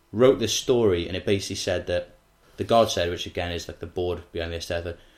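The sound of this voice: A man speaks in a low voice with fairly even intonation.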